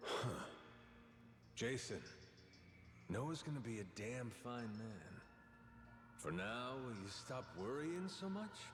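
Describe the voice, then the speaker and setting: A man's put-on character voice at medium pitch, fairly slow with long, frequent pauses, over clear background noise. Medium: video game. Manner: blunt, casual cursing.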